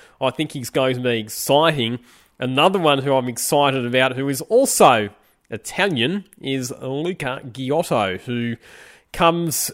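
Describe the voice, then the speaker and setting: In an Australian accent, a man with a medium-pitched voice speaks at a moderate pace with ordinary pitch variation on a very clean recording with a silent background. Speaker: podcast host and motorsport commentator. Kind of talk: casual chat.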